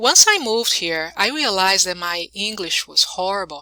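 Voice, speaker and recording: A woman with a non-native accent speaks fairly slowly in a medium pitch, her tone bright and sharp with ordinary pitch variation. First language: not English. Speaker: YouTuber. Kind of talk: casual vlog. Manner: halting, many fillers.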